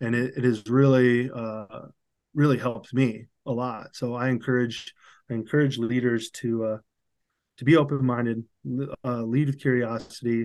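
Against a quiet background, a man with a Midwestern American accent talks fairly slowly in a medium pitch with monotone, flat intonation. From US Midwest, Cedar Rapids, Iowa. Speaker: sales manager. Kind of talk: interview. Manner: halting, many fillers and restarts.

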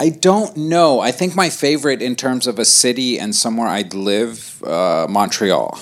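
A man speaks at a fairly slow pace, his pitch swinging very widely. Noticeable background noise runs behind him. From Lebanon. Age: 30s. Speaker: stand-up comedian. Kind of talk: casual chat.

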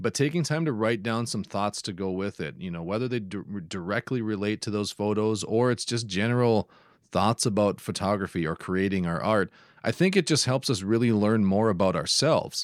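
Fairly quick and fairly low-pitched, a man talks in a Minnesota accent with ordinary pitch variation, the sound dry and close with no echo in a very clean recording with a silent background. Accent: Upper Midwest (Minnesota) American. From northeastern Minnesota. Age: 30s. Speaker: photographer and podcaster. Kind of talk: casual interview chat. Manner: halting, frequent word repetitions.

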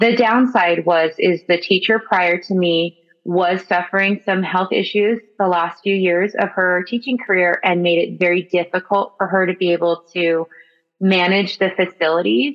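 A woman with an American accent and a normal speaking voice talks at a moderate pace and medium pitch. Her loudness is very even and her intonation fairly even. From Central Valley, California. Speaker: high school ceramics teacher. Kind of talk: interview.

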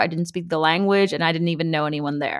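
A woman with an American accent has a bright, sharp tone in a very clean recording with a silent background. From US West Coast, Los Angeles. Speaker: personal finance content creator. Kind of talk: interview.

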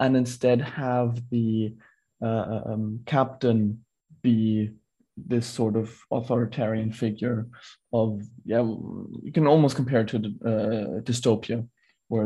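A man speaks at a fairly slow pace with a medium pitch and a dark, mellow tone. His voice is somewhat breathy, and his intonation is monotone and flat. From Singapore. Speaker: screenwriter and filmmaker. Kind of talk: interview.

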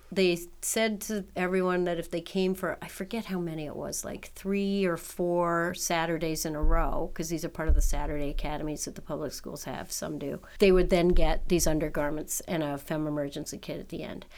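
With an unremarkable speaking voice, a woman talks at a moderate pace in a fairly low pitch, with fairly even intonation and hardly any pauses. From New York City. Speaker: nonprofit director. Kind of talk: interview.

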